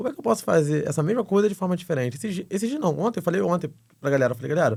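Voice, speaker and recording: The talking races along at a very fast clip. The pitch leaps up and down in very wide swings. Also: man, high pitch for a man. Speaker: travel agency founder. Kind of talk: podcast interview.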